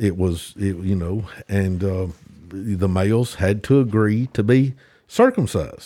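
A man's fairly low, dark, mellow voice in a Tennessee accent, on a very clean recording with a silent background. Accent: Southern US (Tennessee). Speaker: teaching pastor. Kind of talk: casual Bible study discussion.

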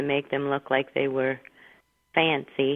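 A woman speaks at a fairly slow pace. Her voice is very deep and low, with an American accent. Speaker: host's mother. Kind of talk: casual chat. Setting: phone call.

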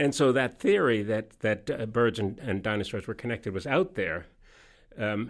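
A man talks at a moderate pace, his medium pitch varying in an ordinary way. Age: 60s. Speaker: journalist and author. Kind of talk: interview. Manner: halting, many false starts.

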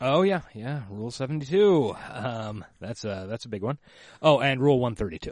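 A man's ordinary speaking voice, medium in pitch, fairly slow, with lively intonation and big swings in loudness. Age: middle-aged. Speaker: podcast co-host. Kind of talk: casual chat.

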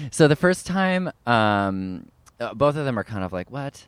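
An ordinary speaking voice with a Canadian accent, lively intonation and a moderate pace, in a very clean, dry, close recording with no echo and a silent background. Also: man. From Canada, Ottawa. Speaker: actor and writer. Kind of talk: casual chat. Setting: outdoors in a park.

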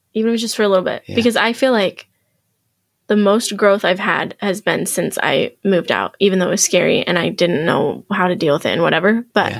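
With a plain, everyday voice, a woman talks at a fairly quick pace in a medium pitch and ordinary pitch variation. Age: 20s. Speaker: podcast guest sharing life lessons. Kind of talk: casual chat. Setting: studio.

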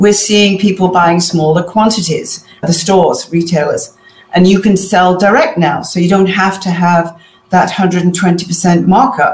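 A woman at medium pitch with ordinary pitch variation, a fairly slow pace and noticeable background noise. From Manchester, northern England. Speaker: author and fashion business consultant. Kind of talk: interview.

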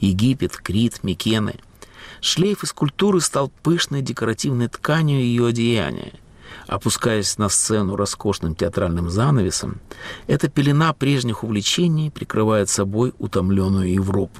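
A man with a normal speaking voice uses lively intonation. The sound is dry and close with no echo. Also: medium pitch for a man, fairly slow pace. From Latvia, Riga. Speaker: radio host and writer. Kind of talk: scripted narration.

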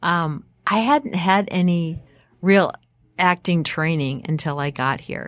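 A woman with an American accent speaks at a very slow pace with a fairly low pitch and lively intonation. The recording is very clean, with a silent background. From Minnesota, Minneapolis suburbs. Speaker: actress and ceramic artist. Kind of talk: interview.

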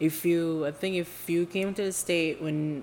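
In an Indonesian accent, the speaker goes at a fairly slow pace with fairly even intonation. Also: woman. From Indonesia (Jakarta). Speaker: podcast co-host. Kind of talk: casual chat.

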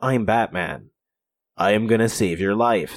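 In a put-on character voice, a man sounds gruff and fairly low in pitch, speaking at a moderate pace on a very clean recording with a silent background. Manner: gruff, heroic.

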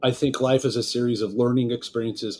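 A man talks at a very fast pace. He has an American accent. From Los Angeles, California. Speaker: wealth management executive. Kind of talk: interview.

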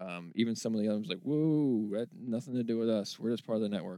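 An unremarkable speaking voice from a man, medium pitch, lively intonation and a fairly quick pace. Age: 40s. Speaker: video game podcast host. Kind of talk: casual chat.

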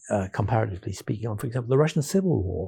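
Somewhat breathy and dark, mellow in tone, a man with an English accent speaks with lively intonation. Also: very clean recording, silent background. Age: 70s. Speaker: philosopher. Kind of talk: interview.

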